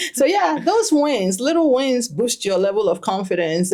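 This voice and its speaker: The speaker has a Ghanaian accent and lively intonation. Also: woman. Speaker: stress and financial clarity coach. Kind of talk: podcast interview.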